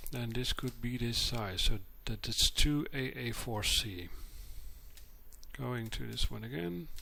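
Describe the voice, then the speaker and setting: A quiet man speaking fairly slowly, with long, frequent pauses. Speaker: modding tutorial maker. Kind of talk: screen-capture tutorial narration. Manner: quiet, subdued.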